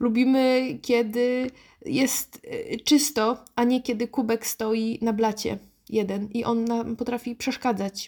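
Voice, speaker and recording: Speaking at a very slow pace, a woman holds a fairly high pitch with fairly even intonation. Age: 30s. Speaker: podcast host and dating advice author. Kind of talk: solo podcast monologue. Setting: sitting at a desk.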